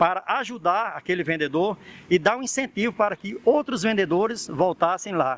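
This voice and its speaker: A man's high-pitched voice with lively intonation, in a dry, close sound with no echo. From Paraíba, northeastern Brazil. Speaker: itinerant street vendor. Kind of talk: interview answer.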